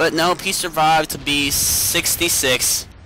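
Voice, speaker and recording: Against noticeable background noise, a man with an American accent speaks with ordinary pitch variation. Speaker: vlogger. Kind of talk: casual vlog monologue. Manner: halting, stumbling over words.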